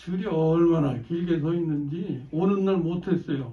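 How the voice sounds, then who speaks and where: A man with a high pitch and a dark, mellow tone speaks at a very slow pace, with audible room echo around him. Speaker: pastor. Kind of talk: sermon. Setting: church. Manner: slow and clearly enunciated.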